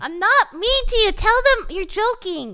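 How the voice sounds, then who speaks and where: In a put-on character voice, a woman speaks at an extremely high, squeaky pitch with lively intonation. Her pace is moderate. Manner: raised voice, annoyed.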